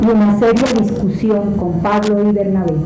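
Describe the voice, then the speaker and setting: A woman talks fairly slowly amid noticeable background noise and audible room echo. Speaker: lay reader at Mass. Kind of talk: liturgical scripture reading. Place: church.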